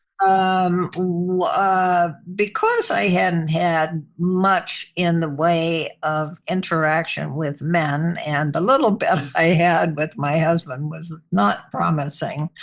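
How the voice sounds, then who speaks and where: A woman's fairly low-pitched voice at a very slow pace, with ordinary pitch variation. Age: 80s+. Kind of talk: interview answer.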